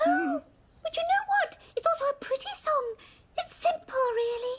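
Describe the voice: A squeaky, cartoonish character voice that sounds female, pitched extremely high and delivered at a moderate pace.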